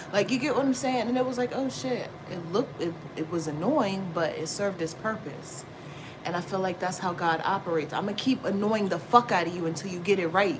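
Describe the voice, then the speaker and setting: Noticeable background noise sits behind a woman with a medium-pitched voice. She talks fairly quickly with lively intonation. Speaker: tarot reader. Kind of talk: casual tarot livestream talk. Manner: loud; animated.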